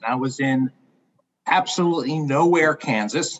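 A man's unremarkable speaking voice, fairly high pitch for a man, ordinary pitch variation and a fairly slow pace. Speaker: guest. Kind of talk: storytelling. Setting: video call.

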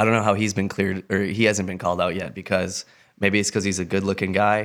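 In a normal speaking voice, a man with a fairly low pitch talks at a fairly quick pace in a very clean recording with a silent background. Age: 30s. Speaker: podcast co-host. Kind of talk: casual chat.

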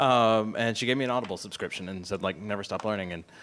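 A man speaks in an ordinary speaking voice, fairly low in pitch, with fairly even intonation. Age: 30s. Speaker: video production company founder. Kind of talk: panel discussion. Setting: live event with audience.

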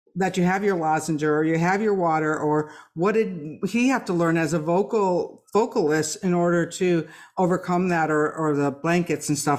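A woman with a normal speaking voice, fairly low pitch and moderate pace, in a very clean recording with a silent background. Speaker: podcast host and author. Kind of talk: casual interview.

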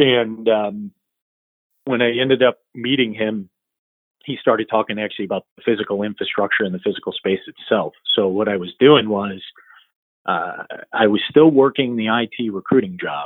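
With an American accent, a man of medium pitch talks at a moderate pace, his pitch varying an ordinary amount between long, frequent pauses. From US Midwest, Michigan (Royal Oak, near Detroit). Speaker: company CEO in the data center industry. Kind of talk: interview conversation. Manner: hesitant, lots of fillers.

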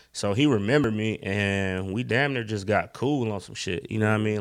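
In a very clean recording with a silent background, a man talks at a very fast pace in a fairly low pitch. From US South, Durham, North Carolina. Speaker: music producer. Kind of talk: casual interview.

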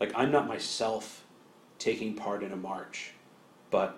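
A man talks with fairly even intonation. Room echo can be heard. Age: 40s. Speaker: business school professor. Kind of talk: academic interview.

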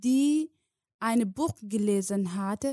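In a Somali accent, a woman speaks with a fairly high pitch, a dark, mellow tone, and ordinary pitch variation, on a very clean recording with a silent background and a dry, close sound with no echo. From Somalia. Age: 20s. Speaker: guest refugee telling her story. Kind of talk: personal testimony. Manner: halting, emotional, with pauses.

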